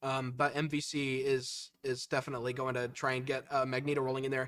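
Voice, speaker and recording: Speaking fairly quickly, a man uses a fairly high-pitched voice. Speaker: esports caster. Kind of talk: live commentary. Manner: loud. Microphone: peaking, cutting out.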